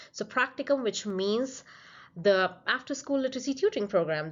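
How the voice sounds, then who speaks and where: A woman with a non-native accent talks at a fairly quick pace with very wide pitch swings. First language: not English. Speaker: PhD researcher presenting a study. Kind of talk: conference presentation. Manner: slightly halting, with fillers.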